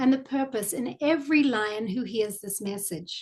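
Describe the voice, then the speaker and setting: A woman with a New Zealand accent speaks at a moderate pace. Her intonation is lively, and the background is quiet. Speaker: club volunteer presenter. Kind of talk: virtual presentation.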